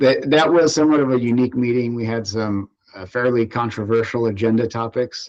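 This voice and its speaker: A medium-pitched man with an American accent, talking at a very fast pace. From California, Central Valley (Fresno). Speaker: water district general manager. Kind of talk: interview. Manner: hesitant, many fillers.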